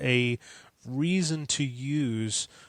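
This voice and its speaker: A medium-pitched man's voice on a very clean recording with a silent background. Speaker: Apple tech support consultant. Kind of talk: casual tech podcast discussion. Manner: fast.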